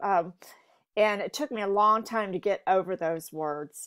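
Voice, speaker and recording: A woman with an American accent, at a moderate pace with ordinary pitch variation, over a quiet background. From US South, eastern North Carolina. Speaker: podcast guest. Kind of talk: interview. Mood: warm, earnest. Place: home room. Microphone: earbuds.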